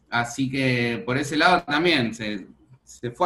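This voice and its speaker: A man's intonation moves in a lively way, with noticeable noise behind him. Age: 30s. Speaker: restaurant owner. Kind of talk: interview.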